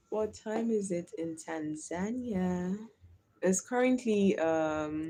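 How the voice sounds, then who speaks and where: Very slowly, a woman talks at a medium pitch with ordinary pitch variation and a dark, mellow tone. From Nigeria (Delta/Bayelsa area). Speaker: live streamer. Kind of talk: casual live stream chat. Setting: live stream.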